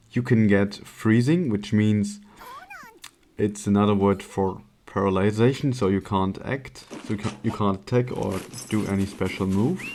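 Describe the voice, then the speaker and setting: A man talks with a non-native accent at a moderate pace, his pitch fairly low and intonation fairly even. Noticeable background noise is present. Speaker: speedrunner. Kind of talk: gameplay commentary.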